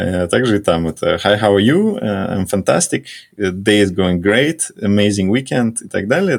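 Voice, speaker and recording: A man with an ordinary speaking voice and a fairly low pitch talks at a fairly slow pace with ordinary pitch variation. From Russia. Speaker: corporate strategy executive. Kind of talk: casual interview chat.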